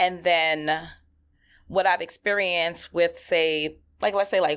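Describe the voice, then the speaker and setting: With a New York accent, a woman talks at a fairly slow pace in a fairly low pitch, her tone animated and her pitch variation ordinary, on a very clean recording with a silent background. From New York, Queens (Flushing). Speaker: entrepreneur. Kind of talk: interview.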